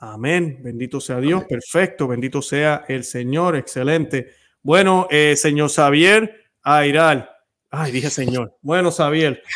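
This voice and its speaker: A man speaks very slowly at a fairly high pitch. His pitch varies in an ordinary way over a quiet background. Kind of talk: interview intro and conversation. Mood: warm, devout. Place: home room. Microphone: studio mic.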